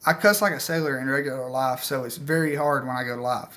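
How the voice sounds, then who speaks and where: A man in a strong Southern US accent, fairly high in pitch, fairly quick and fairly even in intonation. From US South. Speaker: outdoor/hunting channel host. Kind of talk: live stream Q&A chat. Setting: live stream. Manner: casual, filler-heavy.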